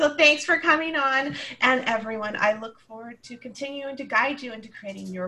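A woman speaks at a moderate pace. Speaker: podcast host and empowerment coach. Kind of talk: casual interview chat. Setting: video call recording. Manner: animated, laughs often.

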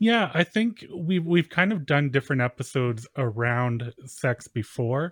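A fairly high-pitched man with a Canadian accent, fairly slow yet with hardly any pauses, very wide pitch swings, dry and close sound with no echo, against a quiet background. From Canada, rural Manitoba. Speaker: podcast co-host. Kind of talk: casual chat.

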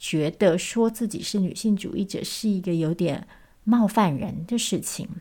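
Somewhat breathy and dark, mellow in tone, the voice moves at a fairly slow pace on a very clean recording with a silent background. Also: woman, medium pitch for a woman, ordinary pitch variation. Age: 30s. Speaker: podcast host. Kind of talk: unscripted solo talk.

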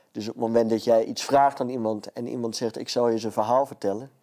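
A man's dark, mellow tone at medium pitch, with fairly even intonation. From Friesland, Netherlands. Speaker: comedian. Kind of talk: casual chat.

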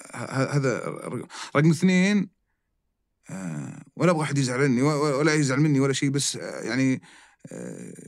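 Pausing long and often, a man speaks at a fairly slow pace with fairly high pitch and ordinary pitch variation. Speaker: restaurant chain executive. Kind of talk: casual interview. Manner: animated.

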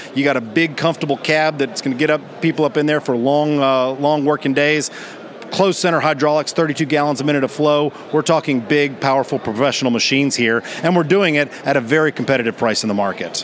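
A man at a fairly quick pace and fairly high pitch, ordinary pitch variation and very even loudness, against noticeable background noise. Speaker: sales and marketing manager. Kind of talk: interview. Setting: trade show floor.

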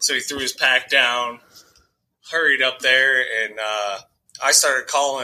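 At a moderate pace, a man with an American accent speaks at a medium pitch in a monotone, flat intonation. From Colorado. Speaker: hunter. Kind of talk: casual chat.

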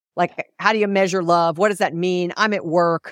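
Recorded very cleanly against a silent background, a woman with a plain, everyday voice and fairly low pitch speaks at a fairly quick pace with ordinary pitch variation, the sound dry and close with no echo. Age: 50s. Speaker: business author and keynote speaker. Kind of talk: interview.

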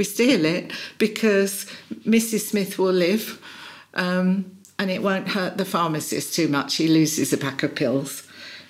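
With a British accent, a woman speaks at a very slow pace, her medium pitch showing ordinary pitch variation. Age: 60s. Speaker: executive and personal coach. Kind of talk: interview.

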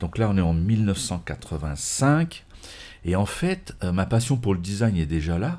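Speaking at a very slow pace, a man uses lively intonation and a dark, mellow tone. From France, Morvan. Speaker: automotive journalist and magazine editor. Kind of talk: interview conversation.

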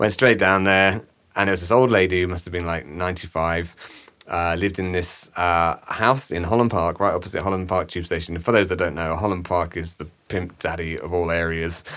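Speaking with an English accent, a man with a very deep, low pitch moves at a fairly quick pace with fairly even intonation. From England. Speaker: cinematographer. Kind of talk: casual chat. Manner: halting, many fillers.

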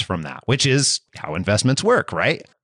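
Against a quiet background, a man of medium pitch speaks with vocal fry in a dry, close sound with no echo. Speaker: podcast host and career coach. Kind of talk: interview.

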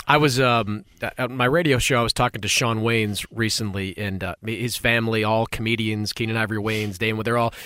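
A man's medium-pitched, unremarkable speaking voice with an American accent, fairly quick and fairly even in intonation. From Boston. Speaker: sports podcast host. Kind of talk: interview. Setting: studio.

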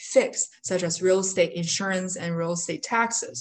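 A woman with a Chinese accent speaks at a medium pitch and a moderate pace. Her voice is somewhat breathy, with ordinary pitch variation. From China. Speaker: mobile home park investor. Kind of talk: interview.

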